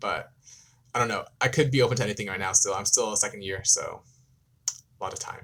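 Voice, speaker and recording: With an American accent, a man talks at a very fast pace, with big swings in loudness and long, frequent pauses. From US, California Bay Area. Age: 20s. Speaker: K-pop YouTuber and law student. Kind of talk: live stream Q&A. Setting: live stream. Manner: hesitant, many ums.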